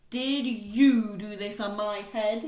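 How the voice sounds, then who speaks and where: A put-on character voice, female-sounding and fairly high-pitched for a woman. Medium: read story.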